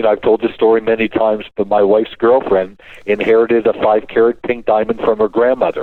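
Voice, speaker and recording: Talking with a Canadian accent, a man speaks at a very fast pace with a medium pitch. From Canada. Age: 60s. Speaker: financial and diamond investment expert. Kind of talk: radio show talk. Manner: animated.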